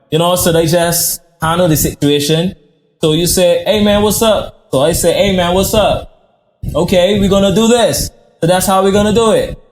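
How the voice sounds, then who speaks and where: A man with an American accent, a high pitch, a moderate pace and very even loudness, with music in the background. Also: fairly even intonation. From Barbados. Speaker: chef. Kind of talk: podcast interview.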